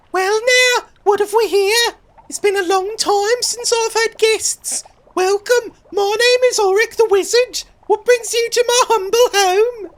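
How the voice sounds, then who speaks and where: Pitched extremely high, the put-on character voice goes along at a fairly slow pace. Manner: welcoming, theatrical.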